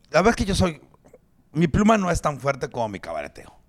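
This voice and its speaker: A man with a Mexican accent, an animated tone and lively intonation. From Mexico. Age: 40s. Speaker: stand-up comedian. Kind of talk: casual chat.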